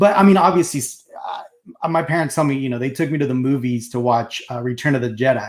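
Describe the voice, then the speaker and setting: This man has a medium pitch. He talks at a very fast pace. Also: ordinary pitch variation. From Mexico, moved to US as a child. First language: Spanish. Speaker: collectibles show co-host. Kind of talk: casual chat. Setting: live stream.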